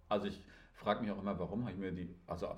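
Over audible room echo, a man talks very fast, his fairly low voice somewhat breathy. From northern Germany. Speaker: podcast host. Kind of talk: casual chat.

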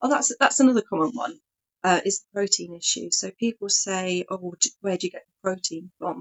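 A woman with an English accent speaks at a medium pitch and moderate pace, with ordinary pitch variation and big swings in loudness. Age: 40s. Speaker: vegan speaker. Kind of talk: casual chat.

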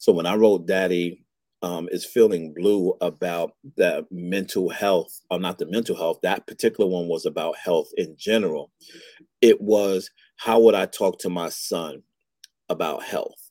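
Recorded dry and close with no echo and a silent, very clean background, a man speaks at a fairly slow pace. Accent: New York. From Brooklyn, New York. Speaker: fatherhood advocate and author. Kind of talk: interview conversation.

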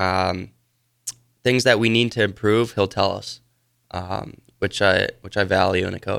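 With an American accent, a man speaks in a fairly low register with fairly even intonation and long, frequent pauses. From Wisconsin. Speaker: junior hockey player. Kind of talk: radio interview.

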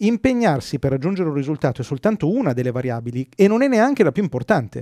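A man with a dark, mellow tone and fairly high pitch, very wide pitch swings, a very fast pace, and a dry, close sound with no echo. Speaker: podcast host. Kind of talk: casual chat.

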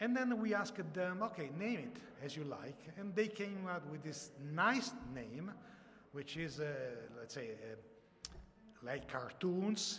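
The voice moves at a fairly slow pace with very wide pitch swings and long, frequent pauses. Audible room echo and noticeable background noise fill the recording. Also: man, high pitch for a man. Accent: Italian. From Italy. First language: Italian. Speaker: software company founder. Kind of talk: presentation. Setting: live audience, livestreamed. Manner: halting.

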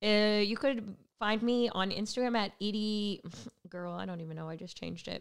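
In an American accent, a woman talks at a moderate pace and a medium pitch. Her pitch variation is ordinary, while her loudness swings a lot. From California. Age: 30s. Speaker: stand-up comedian. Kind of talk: casual chat. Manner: animated.

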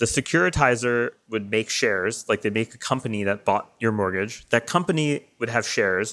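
With lively intonation and a medium pitch, a man speaks at a moderate pace in an unremarkable speaking voice. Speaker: crypto financial modeling founder. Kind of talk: interview. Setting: video call.

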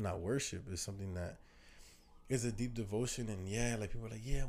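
Somewhat breathy, a man with an American accent speaks at a fairly quick pace amid audible room echo. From New Jersey. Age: 20s. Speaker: podcast host. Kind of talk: casual chat.

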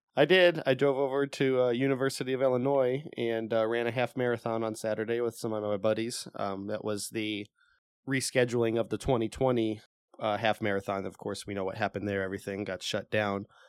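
A man talks at a fairly quick pace in an unremarkable speaking voice. His pitch is medium, with ordinary variation. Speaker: video game podcast co-host. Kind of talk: casual chat.

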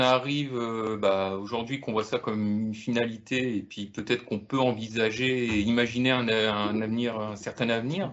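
A man with an ordinary speaking voice, medium in pitch, at a moderate pace with hardly any pauses. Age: 30s. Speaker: film enthusiast panelist. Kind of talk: casual chat.

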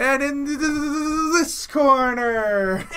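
Someone performs a put-on character voice, raised and projected. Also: man, extremely high pitch for a man. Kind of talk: boxing-announcer hype. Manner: stuttering.

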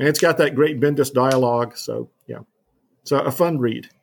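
A man with an unremarkable speaking voice, medium pitch, ordinary pitch variation and moderate pace, on a very clean recording with a silent background. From US South, New Orleans. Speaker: professor. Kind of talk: interview.

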